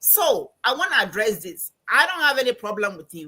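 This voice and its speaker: A fairly high-pitched woman with a Ghanaian accent, animated in tone, with very wide pitch swings at a moderate pace. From Ghana, Accra. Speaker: financial coach and anthropology professor. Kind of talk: interview. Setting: live stream.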